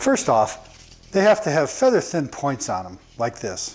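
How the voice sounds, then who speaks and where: The pace is moderate, with very wide pitch swings. Light background noise is audible. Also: man. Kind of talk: tutorial. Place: workshop. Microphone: lapel.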